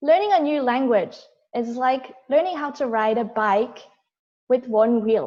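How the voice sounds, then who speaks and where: A high-pitched woman with lively intonation at a fairly slow pace. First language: Korean. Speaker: toastmasters member giving prepared speech. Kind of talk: prepared speech. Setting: video call.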